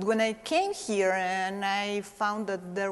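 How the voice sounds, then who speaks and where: Speaking fairly slowly with a Mexican accent, a woman keeps a medium pitch and a fairly even intonation. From Mexico. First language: Spanish. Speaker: stage actress. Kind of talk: interview. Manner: hesitant, many fillers.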